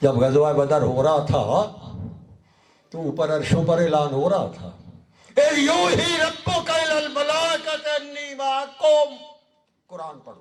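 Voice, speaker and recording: A man's animated tone with big swings in loudness and long, frequent pauses, in audible room echo. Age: 70s. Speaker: Sufi religious scholar. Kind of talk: sermon. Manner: animated, exhorting.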